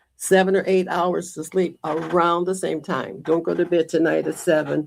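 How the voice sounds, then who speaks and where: A woman with an American accent speaks at a moderate pace in a fairly low pitch, flat and monotone, with vocal fry. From Michigan, Detroit area. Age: 90s. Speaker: community volunteer. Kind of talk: interview.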